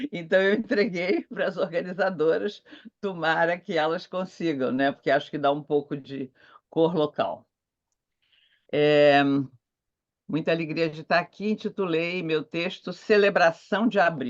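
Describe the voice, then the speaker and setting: Speech comes at a fairly slow pace with long, frequent pauses and ordinary pitch variation over a quiet background. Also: woman, fairly low pitch for a woman. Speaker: theology professor. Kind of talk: conference talk. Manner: slow, clear reading.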